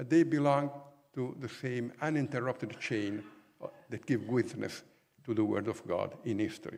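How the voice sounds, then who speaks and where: This man speaks with an Italian accent at medium pitch. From Italy. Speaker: professor. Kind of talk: lecture.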